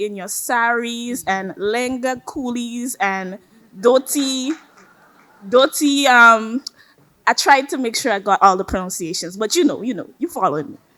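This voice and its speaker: At a fairly slow pace, a woman with a high pitch and a bright, sharp tone uses lively intonation and big swings in loudness. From Grenada. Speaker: college student athlete. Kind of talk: speech.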